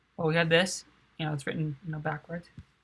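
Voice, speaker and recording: A quiet woman's voice, fairly low in pitch, with monotone, flat intonation. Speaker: math and physics tutor. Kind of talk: tutorial.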